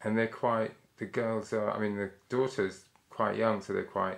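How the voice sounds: A man with vocal fry, fairly even intonation and a moderate pace. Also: fairly low pitch for a man.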